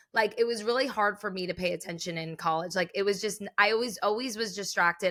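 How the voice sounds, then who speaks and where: Her pitch medium and its variation ordinary, a woman talks at a fairly quick pace. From New Jersey (Secaucus, near New York City). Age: 30s. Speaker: comedian. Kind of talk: casual chat.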